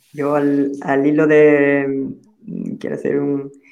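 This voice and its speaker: Audible room echo surrounds a man speaking at a fairly high pitch in a monotone, flat way. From Andalusia, Spain (Huelva). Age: 30s. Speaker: social enterprise founder. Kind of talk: panel discussion.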